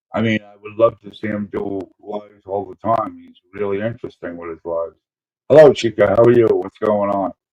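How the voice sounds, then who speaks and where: In a dry, close sound with no echo, a man with an American accent and a fairly low pitch speaks at a fairly quick pace, his dark, mellow tone carrying fairly even intonation and big swings in loudness. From Brooklyn, New York, then Springfield, Illinois. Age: 60s. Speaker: live streamer. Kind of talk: casual chat. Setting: live stream. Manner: halting.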